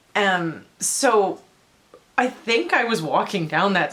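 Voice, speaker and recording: A woman speaks with a Canadian accent. Noticeable background noise runs through the clip. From Surrey, British Columbia, Canada. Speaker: travel vlogger. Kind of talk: casual storytelling vlog.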